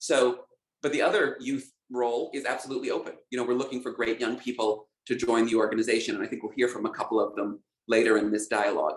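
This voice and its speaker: A man talks at a very fast pace in an American accent. His intonation stays fairly even. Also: medium pitch for a man. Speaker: civil rights organization leader. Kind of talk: online panel discussion. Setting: online video event. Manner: halting, with many fillers.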